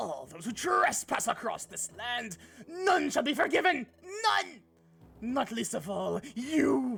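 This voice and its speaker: Over music in the background, a put-on character voice talks at a fairly slow pace and fairly high pitch. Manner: crazy, theatrical, menacing.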